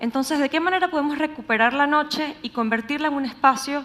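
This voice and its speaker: A woman talks at a fairly quick pace with ordinary pitch variation. She has a Venezuelan accent. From Venezuela, Caracas. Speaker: urban researcher, public speaker. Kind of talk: conference talk.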